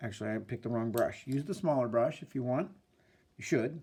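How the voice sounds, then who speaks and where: A man's dark, mellow tone at medium pitch, with ordinary pitch variation. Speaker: art teacher. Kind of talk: tutorial. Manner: casual, hesitant with fillers.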